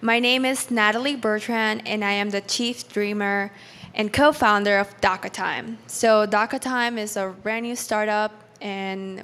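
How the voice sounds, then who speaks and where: Speaking in a Spanish accent, a woman has a fairly high pitch, a moderate pace and fairly even intonation. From Peru, then New York City. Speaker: startup founder and engineer. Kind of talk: personal story talk at event.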